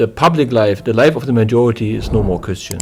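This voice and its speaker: The speaker has a German accent with ordinary pitch variation. Music sits in the background. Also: man. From East Germany. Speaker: church deacon. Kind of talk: interview. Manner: halting.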